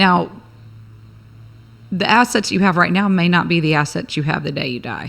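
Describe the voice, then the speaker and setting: Lively in intonation, a woman speaks with long, frequent pauses. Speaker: attorney and business owner. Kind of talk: casual interview chat. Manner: fast.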